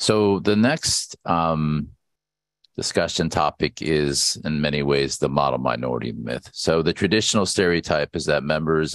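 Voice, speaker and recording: A man with an American accent and very deep, low pitch talks at a moderate pace with vocal fry and ordinary pitch variation, in a dry sound with no echo over a quiet background. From California. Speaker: university school director and event host; event host. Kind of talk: symposium hosting and panel moderation. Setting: video call. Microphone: headset.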